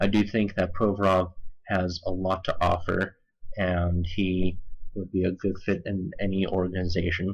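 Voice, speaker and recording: A somewhat breathy man's voice, very deep and low in pitch, flat and monotone, at a fairly slow pace. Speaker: hockey scouting commentator. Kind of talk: video commentary. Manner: composed.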